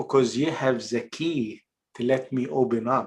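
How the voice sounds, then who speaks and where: With an Egyptian accent, a man speaks at a medium pitch. His pace is very slow. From Egypt, Port Said. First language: Arabic. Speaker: actor and filmmaker. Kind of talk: casual interview. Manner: halting, many fillers.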